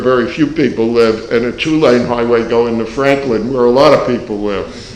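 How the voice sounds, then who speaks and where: A man speaks at a medium pitch with fairly even intonation. Noticeable background noise runs underneath. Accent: American. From New York. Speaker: economics professor. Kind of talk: panel discussion.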